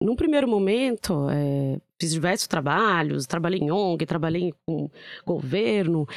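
A woman with an ordinary speaking voice, lively intonation and a moderate pace, in a dry, close sound with no echo. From São Paulo, Brazil (born in southern Minas Gerais). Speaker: tech company business professional. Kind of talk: casual interview chat.

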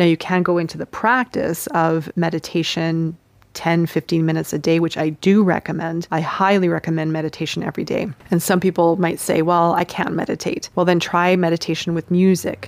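Recorded with a dry, close sound and no echo, a woman with a plain, everyday voice speaks quickly at a fairly low pitch and fairly even intonation. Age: 40s. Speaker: spiritual podcast host. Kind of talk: spiritual teaching monologue. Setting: outdoors.

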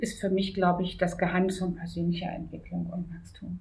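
A woman speaks at a medium pitch, somewhat breathy. Her tone is dark and mellow. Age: 50s. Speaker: office assistant. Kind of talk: interview.

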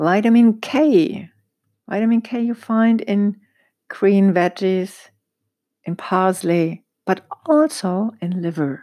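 Very slow speech with long, frequent pauses comes in a German accent, dark and mellow in tone. The intonation is lively, and the recording is very clean with a silent background. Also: woman, medium pitch for a woman. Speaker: holistic dentist, podcast host. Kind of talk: solo educational podcast talk. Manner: halting, searching for words.

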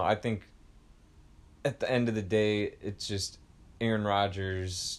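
A man's ordinary speaking voice, fairly low in pitch, with fairly even intonation. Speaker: sports podcast co-host. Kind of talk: casual sports chat.

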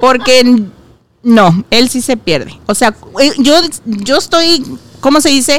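A woman's high-pitched, animated voice with lively intonation over noticeable background noise. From Guadalajara, Mexico. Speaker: podcast host. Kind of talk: casual chat.

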